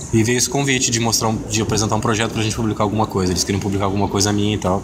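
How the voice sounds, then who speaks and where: A man's fairly low voice carries audible room echo. Noticeable background noise runs underneath. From Rio Grande do Sul, Brazil (Pelotas). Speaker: comics artist. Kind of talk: interview. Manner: halting, with many fillers.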